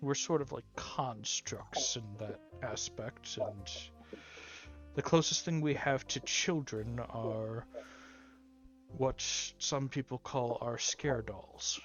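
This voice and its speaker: Using a put-on character voice at a medium pitch, a man talks at a very slow pace with long, frequent pauses. Clear music plays in the background. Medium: actual play. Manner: matter-of-fact.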